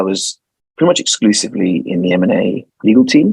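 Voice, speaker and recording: With a London accent, a man talks at a fairly quick pace in a dry, close sound with no echo. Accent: British (London). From London, England. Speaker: lawyer. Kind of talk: interview.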